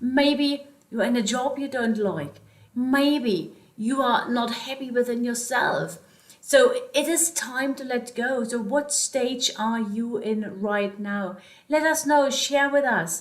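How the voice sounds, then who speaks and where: A woman with a slight German accent, high pitch, very slow pace and ordinary pitch variation. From Germany (born East, moved West). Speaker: life coach / vlogger. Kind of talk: motivational talk to camera.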